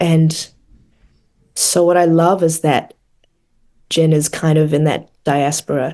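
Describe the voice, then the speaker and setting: A dark, mellow tone in a New Zealand accent at a fairly slow pace. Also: woman. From New Zealand, Palmerston North. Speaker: actress. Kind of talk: interview.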